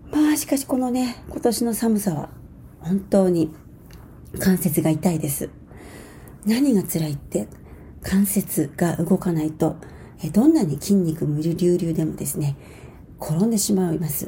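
Somewhat breathy and dark, mellow in tone, a woman speaks at a fairly low pitch and a fairly slow pace with lively intonation and long, frequent pauses. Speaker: dancer and choreographer. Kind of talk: radio monologue.

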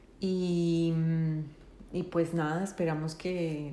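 A woman speaks very slowly in a fairly low pitch with a dark, mellow tone. Her intonation is monotone and flat, and there is audible room echo. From Colombia. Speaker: podcast co-host, counselor. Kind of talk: casual chat.

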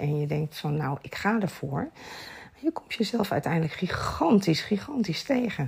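The voice is somewhat breathy, with a dark, mellow tone. It moves at a fairly slow pace with lively intonation. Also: woman. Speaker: sleep and lifestyle coach. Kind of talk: casual chat.

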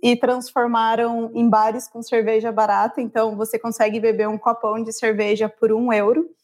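Fairly high in pitch, a woman speaks at a moderate pace in a monotone, flat intonation, with hardly any pauses. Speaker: travel guest living abroad. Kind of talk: casual chat.

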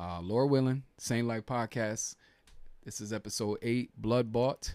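On a very clean recording with a silent background, a man with a medium pitch has a plain, everyday voice. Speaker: podcast host. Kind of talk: casual chat. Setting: church office.

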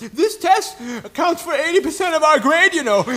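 Putting on a wheezy character voice at an extremely high pitch, a man speaks at a moderate pace over light background noise.

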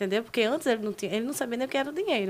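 In an unremarkable speaking voice, a woman speaks with lively intonation on a very clean recording with a silent background. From Brazil, Maceió, Alagoas. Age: 20s. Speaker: social media personality. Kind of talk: casual chat.

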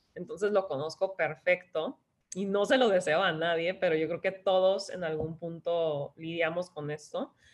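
Here a woman talks at a fairly slow pace. Her pitch is fairly low, with ordinary pitch variation. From Tijuana, Mexico, raised in San Diego. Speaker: wellness influencer and health coach. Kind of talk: casual interview.

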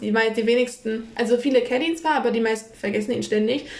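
Fairly quick, fairly evenly intoned speech from a woman with a high pitch, amid noticeable background noise. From northern Germany, Kiel. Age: 20s. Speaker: podcast co-host. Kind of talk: casual chat.

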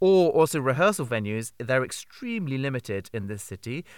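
On a very clean recording with a silent background, a man with a plain, everyday voice talks at a fairly quick pace and medium pitch. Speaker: theatre artistic director and producer. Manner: upbeat, chatty.

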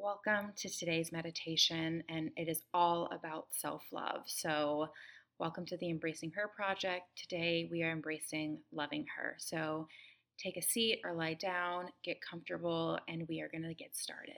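This is a normal speaking voice with fairly even intonation. The recording is very clean, and the background is silent. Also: woman, fairly low pitch for a woman. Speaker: meditation guide. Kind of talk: guided meditation. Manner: slow, soothing, gentle pacing with long pauses; calm, warm, tender, intimate.

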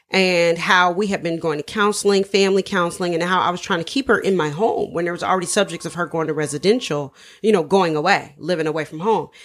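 With an American accent and an ordinary speaking voice, a woman speaks at a fairly low pitch and a fairly quick pace with ordinary pitch variation, on a very clean recording with a silent background. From Dayton, Ohio, US Midwest. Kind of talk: interview.

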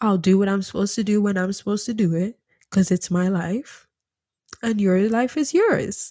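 A woman's somewhat breathy, dark and mellow voice at medium pitch, with ordinary pitch variation and a moderate pace. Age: 20s. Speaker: spirituality and self-development podcast host. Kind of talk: motivational monologue.

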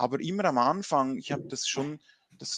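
Against a quiet background, a man speaks at a moderate pace with a medium pitch and ordinary pitch variation. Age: 40s. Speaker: business consultant and trainer. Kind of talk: interview. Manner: halting.

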